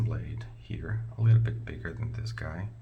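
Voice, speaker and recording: A man with a non-native accent and a very deep, low pitch, speaking at a fairly slow pace, with audible room echo and noticeable background noise. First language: not English. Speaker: product reviewer. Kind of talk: product review tutorial. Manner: halting, many fillers; casual, conversational.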